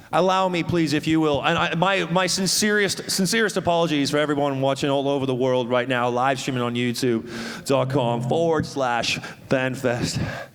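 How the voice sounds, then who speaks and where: Amid noticeable background noise and audible room echo, a man speaks in an animated tone at a fairly high pitch, with ordinary pitch variation, very even loudness and hardly any pauses. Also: moderate pace. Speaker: festival stage host. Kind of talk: live stage hosting. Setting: stage with audience.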